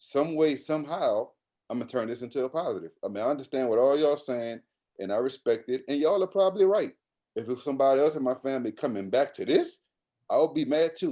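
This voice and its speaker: A man with a New Orleans accent talks very fast at a fairly high pitch, his intonation lively. His tone is dark and mellow, and the recording is very clean with a silent background. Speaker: college basketball coach. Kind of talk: podcast interview answer. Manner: casual, animated storytelling.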